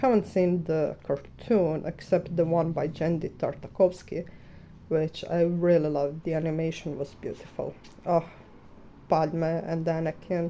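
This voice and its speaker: With a Croatian accent, a woman speaks fairly slowly in a fairly low, dark, mellow voice with fairly even intonation. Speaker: artist. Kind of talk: casual chat. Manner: halting.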